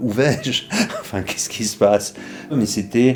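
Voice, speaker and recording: Music plays in the background as a man speaks at a fairly slow pace with ordinary pitch variation. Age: 60s. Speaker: retiree who practises trance and accompanies people. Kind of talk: interview testimony. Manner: hesitant, many fillers.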